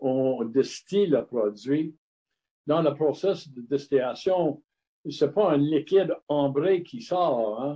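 A man with an English accent talks at a very slow pace. His voice sits fairly high for a man, with ordinary pitch variation. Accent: English-speaker's accent in French. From Montreal, Quebec (anglophone, Scottish family). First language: English (speaking French). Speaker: retired brewer turned distiller. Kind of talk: interview. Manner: halting.

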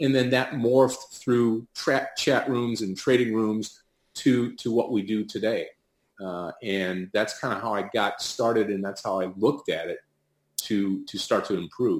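In an American accent, a man talks at a fairly slow pace in a normal speaking voice. His pitch sits in the medium range with ordinary variation. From US Midwest, Detroit, Michigan. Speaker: professional day trader and trading educator. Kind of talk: interview. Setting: remote call.

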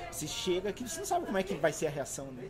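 A man talks at a very fast pace in a high pitch. The room echo is audible, and there is noticeable background noise. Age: 40s. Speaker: university course coordinator. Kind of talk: panel discussion. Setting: live recording with audience.

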